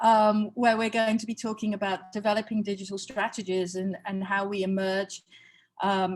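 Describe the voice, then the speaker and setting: Speaking at a moderate pace, a woman with a British accent has a fairly high, somewhat breathy voice. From Britain. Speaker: museum experience executive. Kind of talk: online workshop lecture. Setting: video call from home. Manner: halting, many fillers.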